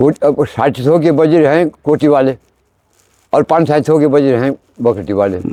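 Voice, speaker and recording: The tone is dark and mellow, the pitch varies in an ordinary way, and the sound is dry and close with no echo. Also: man, fairly high pitch for a man. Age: 60s. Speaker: temple oracle / deity medium. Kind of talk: interview. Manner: halting.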